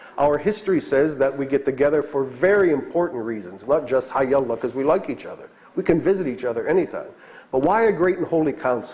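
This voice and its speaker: A man talks at a fairly quick pace with a fairly high pitch and lively intonation. It is an ordinary speaking voice. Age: 60s. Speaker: bishop. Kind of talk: lecture. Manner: conversational, with fillers.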